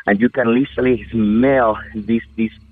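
Speaking in a Spanish accent, a man holds a medium pitch. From Venezuela, Amazon region. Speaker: podcast listener caller. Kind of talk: personal story told into a recording.

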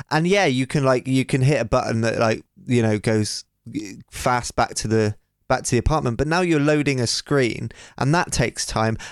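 A man with a normal speaking voice talks at a moderate pace and medium pitch with ordinary pitch variation and very even loudness, the sound dry and close with no echo. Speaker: producer and co-host. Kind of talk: casual chat.

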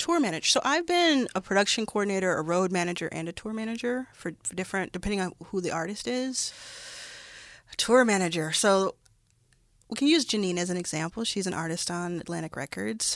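Talking at a fairly quick pace, a woman with an American accent has an unremarkable speaking voice and lively intonation. The recording is very clean, with a silent background. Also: medium pitch for a woman. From Texas, Dallas. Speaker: venture capitalist. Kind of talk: interview.

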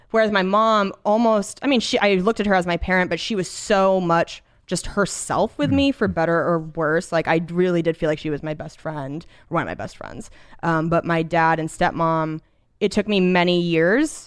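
In an ordinary speaking voice, a woman with an American accent talks at a moderate pace, with fairly low pitch and ordinary pitch variation, over a quiet background. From US Pacific Northwest. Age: 30s. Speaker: stand-up comedian. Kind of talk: casual chat.

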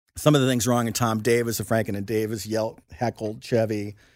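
At a moderate pace, a man with an American accent speaks in an unremarkable speaking voice at a medium pitch. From Indiana, US Midwest. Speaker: author and comedy writer. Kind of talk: casual chat.

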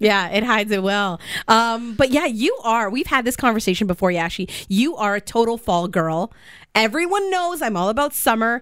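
This woman has a fairly high pitch, lively intonation and an animated tone, and she keeps a moderate pace. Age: 30s. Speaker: radio show host. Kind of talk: casual chat. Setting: radio studio.

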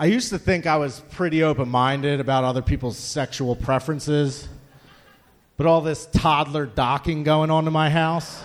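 With an American accent and a normal speaking voice, the speaker moves at a moderate pace with ordinary pitch variation. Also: man, fairly high pitch for a man. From Philadelphia. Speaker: amateur stand-up comedian. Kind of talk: stand-up. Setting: stage with audience.

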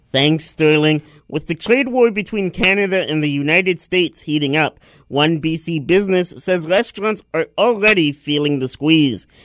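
In an ordinary speaking voice, a man talks at a fairly high pitch and moderate pace with ordinary pitch variation, recorded dry and close with no echo against a quiet background. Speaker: radio producer. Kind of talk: news reading.

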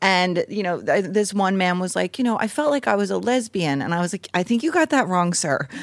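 A woman's fairly quick, lively speech at medium pitch, with hardly any pauses. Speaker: podcast host. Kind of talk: casual chat. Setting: stage with audience. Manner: nervous.

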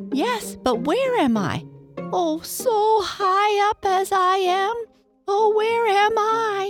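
Faint music plays behind a squeaky put-on character voice that is extremely high in pitch and very slow. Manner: worried, anxious.

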